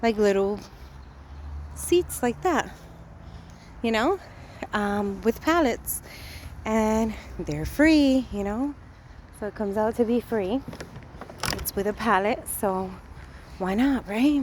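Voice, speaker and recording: A woman with a Spanish accent talks at a very slow pace, her pitch fairly high with ordinary variation. Long, frequent pauses break up her speech over noticeable background noise. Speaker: vlogger. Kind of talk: casual vlog. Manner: hesitant, many fillers.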